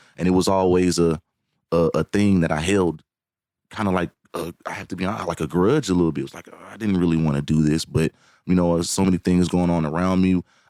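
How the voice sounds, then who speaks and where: In a Southern US accent, a man talks at a fairly quick pace with a very deep, low pitch and a dark, mellow tone. His intonation stays fairly even, and the very clean recording has a silent background and a dry, close sound with no echo. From Alabama, US South. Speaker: singer and songwriter. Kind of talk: podcast interview. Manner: halting, many repetitions.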